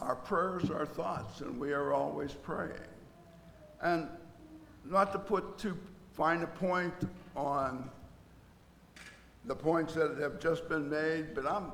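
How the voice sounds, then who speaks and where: Amid noticeable background noise and audible room echo, a man speaks at a very slow pace with long, frequent pauses. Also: fairly high pitch for a man, ordinary pitch variation. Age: 80s+. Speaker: church service leader. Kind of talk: church announcements and prayer. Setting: church.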